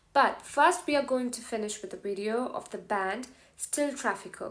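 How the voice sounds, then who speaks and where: A woman with a Tamil accent and ordinary pitch variation. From South India. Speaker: music TV show co-host. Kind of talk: show presenting; casual language lesson.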